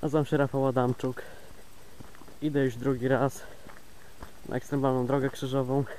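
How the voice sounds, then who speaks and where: A man talks at a moderate pace in a dark, mellow tone with very even loudness. His intonation stays monotone and flat, broken by long, frequent pauses. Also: medium pitch for a man. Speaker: pilgrim vlogger. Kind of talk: walking video diary. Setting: outdoors, walking on a trail. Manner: casual, rambling.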